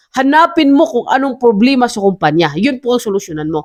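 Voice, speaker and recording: Someone speaks at a fairly quick pace with a Visayan accent. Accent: Visayan-accented Tagalog. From Visayas, Philippines. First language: Cebuano (speaking Tagalog). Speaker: entrepreneur vlogger. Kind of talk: casual vlog monologue. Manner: halting, many fillers.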